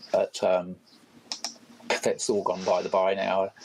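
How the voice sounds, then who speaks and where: In a New Zealand accent, the speaker talks at a moderate pace over noticeable background noise. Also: man. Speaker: photographer. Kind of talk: casual chat. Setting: online voice chat. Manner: halting, many fillers.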